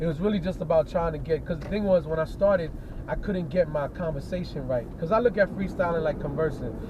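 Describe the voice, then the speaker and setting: Speaking very fast, a man with a New York accent uses a high pitch and ordinary pitch variation. Noticeable background noise is present. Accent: New York hip hop vernacular. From New York City. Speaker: hip hop artist. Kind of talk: casual chat. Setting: in a car. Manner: animated.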